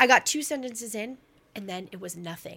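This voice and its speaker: A woman with a Canadian accent speaks in a bright, sharp tone. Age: 40s. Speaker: writer and storyteller. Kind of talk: casual chat.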